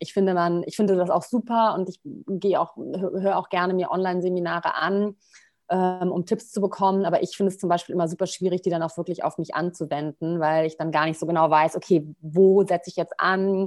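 Over a quiet background, a woman speaks at a fairly quick pace. Her voice is fairly low-pitched, with monotone, flat intonation. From Rhineland, Germany (Bonn). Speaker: PR consultant. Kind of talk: interview. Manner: relaxed, many filler sounds.

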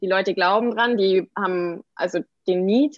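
A woman's unremarkable speaking voice with fairly even intonation. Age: 20s. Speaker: entrepreneur and brand designer. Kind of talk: podcast interview. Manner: many filler words (ähm, genau).

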